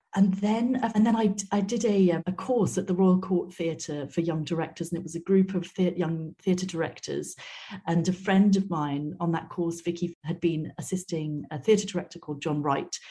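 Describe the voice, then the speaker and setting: A woman's fairly low, dark and mellow voice, somewhat breathy, at a moderate pace with hardly any pauses and ordinary pitch variation. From Wales. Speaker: opera director. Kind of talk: interview.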